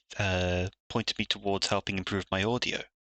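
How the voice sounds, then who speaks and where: Soft-spoken and with a British accent, a man talks at a moderate pace in a fairly low pitch with a bright, sharp tone and monotone, flat intonation, in a dry, close sound with no echo over a quiet background. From Britain. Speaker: streamer and digital artist. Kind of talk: live stream commentary while drawing. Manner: soft-spoken, quiet; hesitant, many fillers.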